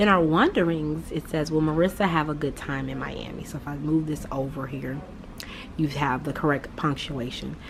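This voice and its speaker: Noticeable background noise and audible room echo surround a woman whose voice is very deep and low, delivered at a moderate pace with fairly even intonation. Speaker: third grade teacher. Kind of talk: casual vlog.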